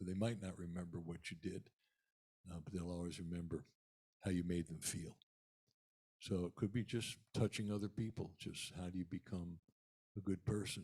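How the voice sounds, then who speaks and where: With a very deep, low pitch and a dark, mellow, somewhat breathy tone, a man speaks at a moderate pace with fairly even intonation and long, frequent pauses. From eastern Pennsylvania. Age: 70s. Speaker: musician. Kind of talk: talk to a church congregation. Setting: church service. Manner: halting.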